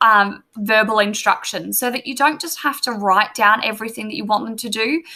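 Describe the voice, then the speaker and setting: This woman's voice has a bright, sharp tone. She talks at a middling speed. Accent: Australian. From Australia. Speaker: teacher. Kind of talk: tutorial. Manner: casual, filler words. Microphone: webcam.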